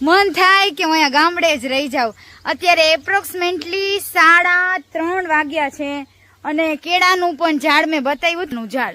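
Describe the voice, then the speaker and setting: A woman raises and projects her voice at an extremely high pitch. Her pitch variation is ordinary. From Gujarat, India. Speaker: comedy vlogger. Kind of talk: casual vlog narration. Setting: outdoors in a village farm. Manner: animated.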